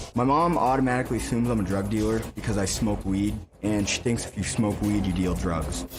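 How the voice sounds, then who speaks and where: A man speaks at a fairly quick pace and fairly low pitch with lively intonation. Audible room echo surrounds his voice. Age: 20s. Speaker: family member on talk show, son. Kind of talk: taped interview segment.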